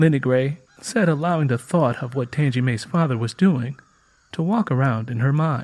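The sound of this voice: At a moderate pace and a medium pitch, a man speaks with ordinary pitch variation and a slightly mellow tone.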